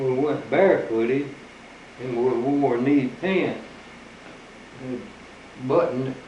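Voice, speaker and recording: A man talks very slowly while noticeable background noise persists. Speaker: rest home resident. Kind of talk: interview answer.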